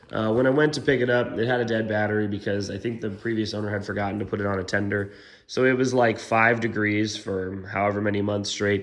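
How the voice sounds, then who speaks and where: A man with a fairly low pitch rushes along at a very fast pace with hardly any pauses, amid audible room echo. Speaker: car vlogger. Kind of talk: casual vlog. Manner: animated.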